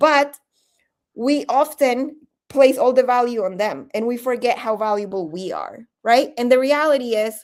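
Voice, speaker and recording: Her intonation is lively. The woman's voice sits high in pitch. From Colombia, Bogotá, moved to New Jersey at 13. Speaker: leadership coach. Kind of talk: interview. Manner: conversational, many fillers.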